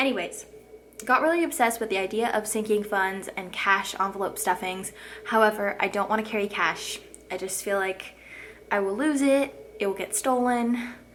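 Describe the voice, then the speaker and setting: Noticeable background noise sits behind this recording. A woman speaks with ordinary pitch variation. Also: fairly high pitch for a woman. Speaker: lifestyle vlogger. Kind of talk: casual vlog talk to camera. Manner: fast.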